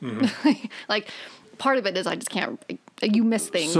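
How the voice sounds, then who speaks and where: A woman speaks with ordinary pitch variation. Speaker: novelist, podcast guest. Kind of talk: casual, profane. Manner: fast talker.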